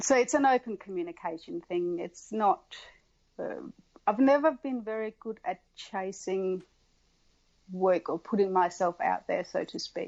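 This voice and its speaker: Moderate-paced speech with ordinary pitch variation over music in the background. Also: woman. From Denmark. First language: Danish. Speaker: embroidery designer. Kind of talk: interview. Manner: halting.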